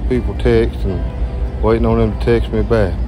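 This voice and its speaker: A man speaks in a very deep, low pitch at a moderate pace, his intonation monotone and flat. The sound is dry with no echo, and faint music plays in the background. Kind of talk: casual vlog chat. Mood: relaxed, pleased. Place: farm machine. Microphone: phone near.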